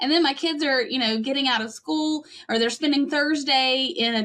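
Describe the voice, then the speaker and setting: A woman with a Western North Carolina accent speaks at a moderate pace in a high, bright, sharp voice with ordinary pitch variation. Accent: Western North Carolina mountain. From Western North Carolina (Cullowhee). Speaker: pastor. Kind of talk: podcast interview.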